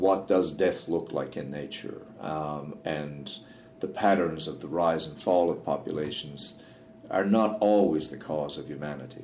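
A man with a Newfoundland accent talks at a fairly slow pace in a very deep, low voice, with ordinary pitch variation and big swings in loudness. Audible room echo and noticeable background noise come through. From Newfoundland, Canada. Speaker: wildlife biologist. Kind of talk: interview conversation. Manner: frequent fillers and hesitations.

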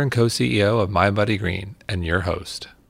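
With ordinary pitch variation and a moderate tempo, an ordinary speaking voice carries the words. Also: man. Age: 40s. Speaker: podcast host and company founder. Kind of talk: casual interview.

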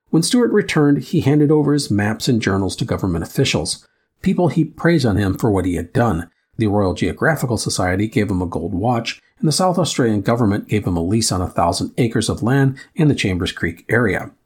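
Medium-pitched, somewhat breathy male voice with a Midwestern accent, fairly quick pace and very wide pitch swings, on a very clean recording with a silent background. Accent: Midwest American. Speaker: history podcast host. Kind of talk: scripted narration.

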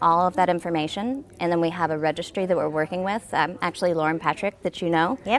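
Talking at a fairly quick pace, a woman with an unremarkable speaking voice and fairly low pitch shows ordinary pitch variation. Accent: American. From Arkansas, US South. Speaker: healthcare company executive. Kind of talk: casual interview.

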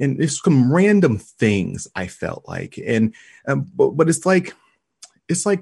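A man's somewhat breathy voice at a fairly slow pace, with very wide pitch swings, against a quiet background. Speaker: author and podcast host. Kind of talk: casual interview conversation.

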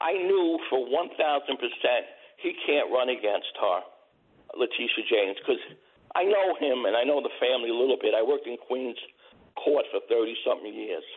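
Here is a man with a New York accent. He talks at a moderate pace. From Brooklyn, New York. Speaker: caller, retired court clerk. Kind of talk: casual chat. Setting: phone call.

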